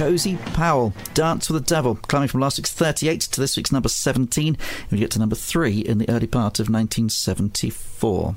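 Music plays in the background. A man speaks at a moderate pace and a medium pitch. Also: lively intonation. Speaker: radio host. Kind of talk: radio music show presenting, chart countdown. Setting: studio. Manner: relaxed, chatty, conversational.

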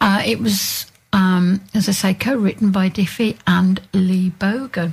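Against noticeable background noise, a woman talks at medium pitch with ordinary pitch variation. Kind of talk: radio DJ patter, chatty song back-announcing between tracks.

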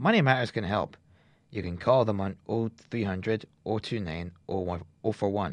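Over a quiet background, a man talks with lively intonation at a fairly low pitch. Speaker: community radio presenter. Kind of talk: radio DJ patter, reading community announcements between songs. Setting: radio studio.

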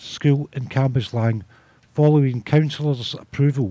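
This man's voice is fairly high and somewhat breathy. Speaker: community radio presenter. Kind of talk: radio presenter reading local announcements. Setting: radio studio.

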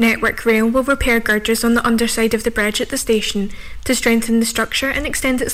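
Noticeable background noise accompanies speech delivered with monotone, flat intonation. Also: woman. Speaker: radio newsreader. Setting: studio. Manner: formal; fast-paced and even, with brisk newsreader delivery.

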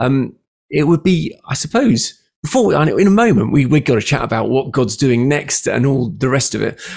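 A man with a British accent at a moderate pace. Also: fairly high pitch for a man, lively intonation. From UK. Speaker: radio and podcast host. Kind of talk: interview.

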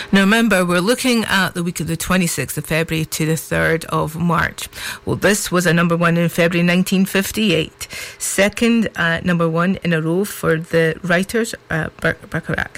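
A woman speaks at a fairly slow pace in a northeast Scottish accent, her pitch fairly low with ordinary variation. Noticeable background noise runs behind her. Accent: northeast Scots (Doric). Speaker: local radio presenter. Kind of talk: radio DJ patter, live music show presenting. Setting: live radio studio. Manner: chatty, rambling, filler-heavy with ums and uhs; warm, upbeat, folksy.

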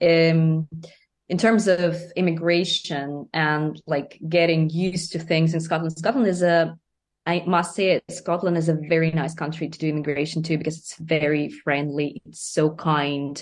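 A woman in a Russian accent, fairly low-pitched, at a moderate pace, with fairly even intonation and big swings in loudness. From Russia, Moscow. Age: 30s. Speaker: singer-songwriter and music student. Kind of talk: interview.

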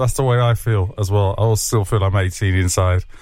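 A plain, everyday voice. It moves at a moderate pace. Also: man. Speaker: radio host. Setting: studio. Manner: upbeat, chatty and laughing, playful and full of quips.

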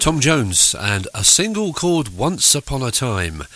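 A man with an English accent and very wide pitch swings, against noticeable background noise. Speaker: radio DJ. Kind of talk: radio DJ patter introducing 1960s records, chatty and informative. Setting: radio studio. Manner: relaxed, conversational, easy-going, with ums and asides.

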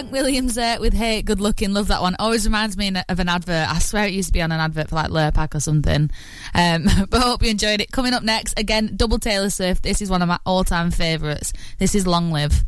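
A woman talks very fast in a warm, upbeat tone with ordinary pitch variation, over noticeable background noise. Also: medium pitch for a woman. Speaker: radio presenter. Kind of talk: radio DJ patter, chatty and sunny, with friendly local asides. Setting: radio studio. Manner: warm, upbeat, enthusiastic, gushing about songs.

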